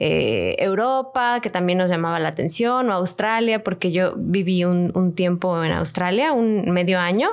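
Someone with a Mexican accent speaks at a moderate pace with ordinary pitch variation over a quiet background. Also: woman. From Mexico. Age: 20s. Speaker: podcast co-host. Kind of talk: casual chat.

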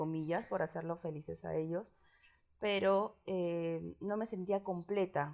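With fairly even intonation, a woman talks very slowly. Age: 30s. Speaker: interviewee sharing coming-out story. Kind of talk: personal testimony interview.

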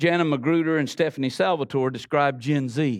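A man with a Florida Panhandle accent and a warm tone speaks at a moderate pace, in a dry, close sound with no echo. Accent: Southern US, Florida Panhandle. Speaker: guest preacher. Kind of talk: sermon. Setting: church with congregation. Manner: warm, conversational, laughs often.

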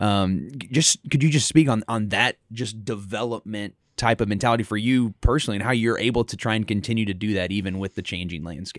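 A man talks at a fairly quick pace with hardly any pauses, in an ordinary speaking voice. His pitch is fairly low with ordinary variation, and the sound is dry and close with no echo. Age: 30s. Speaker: podcast interviewer, athletics administrator. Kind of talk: interview.

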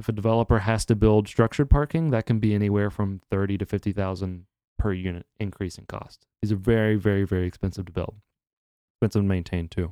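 A man with a fairly low pitch speaks very fast, his loudness swinging widely while his intonation stays fairly even. The tone is dark and mellow, and the recording is very clean, dry and close, with a silent background and no echo. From Kentucky (Lexington). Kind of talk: interview. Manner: casual, filler-heavy.

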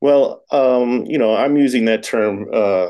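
A man with an American accent and a dark, mellow tone, speaking at a very slow pace. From Florida, Tampa. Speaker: writer and English professor. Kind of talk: casual interview.

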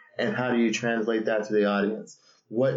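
Fairly even in intonation, a man speaks at medium pitch. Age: 30s. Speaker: podcast co-host. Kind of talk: casual chat. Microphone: laptop built-in mic.

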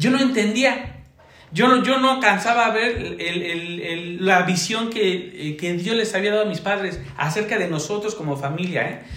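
A man speaks with a high pitch at a fairly slow pace. Noticeable background noise and audible room echo fill the recording. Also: ordinary pitch variation. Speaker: church evangelism leader. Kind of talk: testimony.

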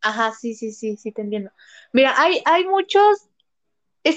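The recording has a dry, close sound with no echo and a quiet background. The speaker talks in a central Mexican accent. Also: woman. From Mexico, Puebla. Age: 20s. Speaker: makeup artist. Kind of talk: casual interview.

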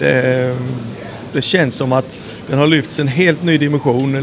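Fairly even intonation at a moderate pace against noticeable background noise. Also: man. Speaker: former motocross racer and dealer. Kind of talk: casual chat. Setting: airport.

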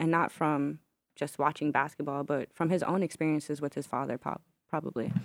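On a very clean recording with a silent background, a woman with a very deep, low voice and vocal fry sounds dry and close, with no echo. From Newark, New Jersey. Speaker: filmmaker and former basketball player. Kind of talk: casual interview. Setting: studio.

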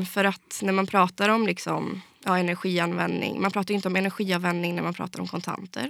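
A woman with an ordinary speaking voice talks at a moderate pace and a medium pitch. The recording is very clean, with a silent background. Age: 20s. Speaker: fintech industry association head. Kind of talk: interview.

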